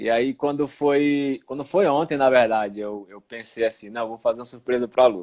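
A plain, everyday voice, a man at medium pitch and moderate pace, with ordinary pitch variation, big swings in loudness and hardly any pauses. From Recife, Brazil. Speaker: live stream host. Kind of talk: casual live stream chat. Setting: at home, online live stream.

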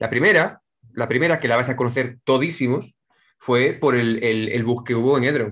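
Over a quiet background, a man speaks at a moderate pace. His medium pitch shows ordinary variation. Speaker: online game player. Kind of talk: casual chat.

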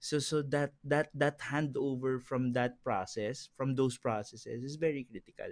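A man has an ordinary speaking voice with a fairly high pitch. He speaks at a fairly slow pace with hardly any pauses, in a dry, close sound with no echo. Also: fairly even intonation. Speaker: entrepreneur. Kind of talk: casual chat. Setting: studio.

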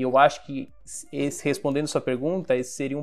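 Music runs in the background. Over it, a man talks with a fairly high pitch. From Brazil, Baixada Santista (Guarujá, São Paulo coast). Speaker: design company CEO. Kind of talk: casual interview.

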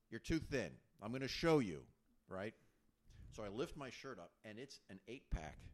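A man speaks at a medium pitch with vocal fry and very wide pitch swings. His loudness swings widely too, at a moderate pace broken by long, frequent pauses. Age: 50s. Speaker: co-host friend. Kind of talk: casual chat.

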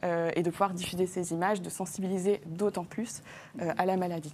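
At a moderate pace, a woman speaks at a medium pitch in a plain, everyday voice. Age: 20s. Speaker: diabetes influencer. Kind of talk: TV health talk show interview. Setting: TV studio.

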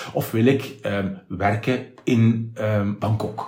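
The speaker is male. A somewhat breathy quality runs through his voice. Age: 50s. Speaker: radio presenter. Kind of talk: casual interview. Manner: clear, articulate.

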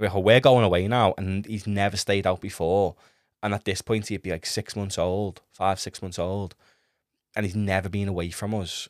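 Flat, monotone speech in an English accent comes through dry and close with no echo, in a very clean recording with a silent background. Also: man, fairly low pitch for a man, moderate pace. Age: 20s. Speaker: podcast host, first-time father. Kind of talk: casual monologue.

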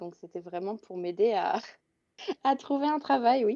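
Over a quiet background, a woman with a dark, mellow tone speaks at a moderate pace. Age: 20s. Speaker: instagram content creator. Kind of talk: casual chat.

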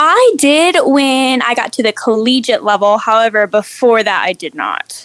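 Over noticeable background noise, a woman with an American accent talks at a moderate pace in a high pitch, hardly pausing at all. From Arizona. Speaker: registered dietitian. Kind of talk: interview.

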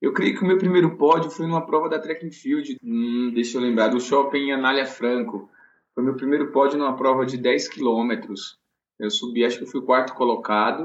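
At a moderate pace and medium pitch, a man talks in an ordinary speaking voice with ordinary pitch variation. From Bahia, Brazil (Vitória da Conquista). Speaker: elite runner and running coach. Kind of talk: casual interview.

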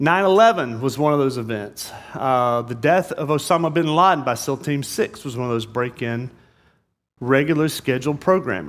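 A man with an American accent speaks at a medium pitch in an ordinary speaking voice. The recording is very clean, with a silent background. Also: lively intonation, moderate pace. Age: 50s. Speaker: pastor. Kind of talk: sermon. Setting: church.

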